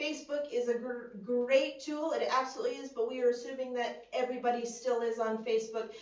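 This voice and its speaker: The speaker has an American accent and talks at a moderate pace. Pitch variation is ordinary, and there is audible room echo. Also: woman. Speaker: student election candidate. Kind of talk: election hustings answer. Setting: video conference.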